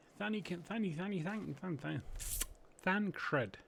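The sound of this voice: A man's high-pitched voice with vocal fry.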